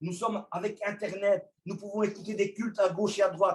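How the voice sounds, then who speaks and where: A loud voice speaking at a moderate pace. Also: man. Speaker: preacher. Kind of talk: sermon.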